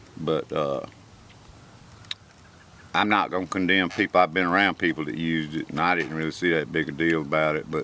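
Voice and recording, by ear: A man speaks at a moderate pace in an extremely low pitch, his tone bright and sharp, with long, frequent pauses. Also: fairly even intonation.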